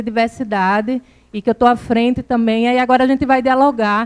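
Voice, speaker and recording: Her pitch high and her intonation fairly even, a woman with a northeastern Brazilian accent talks at a moderate pace. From Brazil, Northeast (Alagoas). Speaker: government program coordinator. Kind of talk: conference talk. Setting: conference with audience. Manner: informal, conversational.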